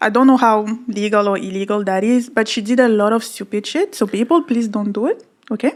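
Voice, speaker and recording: A woman with a non-native accent, fairly high-pitched, at a very fast pace with ordinary pitch variation. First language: not English. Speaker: podcast co-host. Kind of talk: casual chat.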